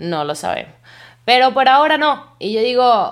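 A woman with an animated tone. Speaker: podcaster. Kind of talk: casual monologue.

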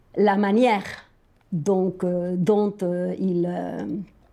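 A woman with a Spanish accent at a very slow pace. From Argentina. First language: Spanish (speaking French). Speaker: storyteller. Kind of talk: casual chat.

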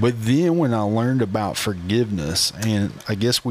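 Noticeable background noise accompanies a man with a fairly low pitch who speaks with an Appalachian accent. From Appalachian Virginia, Grundy. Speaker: associate pastor. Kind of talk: casual chat.

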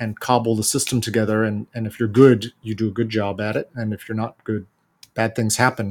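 A man with an American accent, fairly quick and monotone, with flat intonation. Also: medium pitch for a man. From United States. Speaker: bike company founder. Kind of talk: interview.

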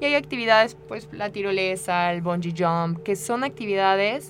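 In a plain, everyday voice, a woman speaks at a moderate pace with medium pitch and ordinary pitch variation. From Mexico, Querétaro. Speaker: rock climbing coach. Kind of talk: radio interview.

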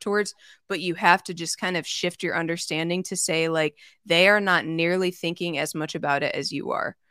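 Speaking at a fairly quick pace, a woman with a fairly low pitch has a bright, sharp tone and ordinary pitch variation on a very clean recording with a silent background. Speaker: leadership consultant. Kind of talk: casual interview. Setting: live stream.

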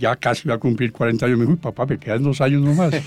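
There is a man talking in a dark, mellow tone with ordinary pitch variation. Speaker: business executive. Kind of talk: interview. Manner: halting.

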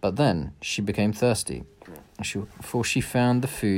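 A natural voice, reading aloud

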